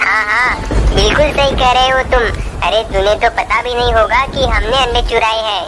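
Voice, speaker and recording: Over loud background noise, a cartoonish character voice plays out at a fairly high pitch. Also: moderate pace. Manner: agreeable sidekick, echoing partner.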